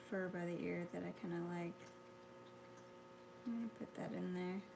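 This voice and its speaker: A woman speaks quietly and somewhat breathily at a medium pitch and moderate pace. Her loudness stays very even, broken by long, frequent pauses. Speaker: artist. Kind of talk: painting tutorial. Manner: halting.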